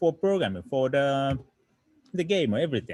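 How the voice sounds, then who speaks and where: A man's fairly high voice with a Japanese accent and very wide pitch swings. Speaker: coding teacher. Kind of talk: online lecture. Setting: online livestream. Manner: halting.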